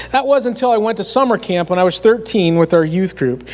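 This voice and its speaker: The speaker has a Pennsylvania accent. The pace is fairly quick and the intonation lively. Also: man. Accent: rural Pennsylvania American. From north central Pennsylvania. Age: 40s. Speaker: youth minister. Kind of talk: sermon.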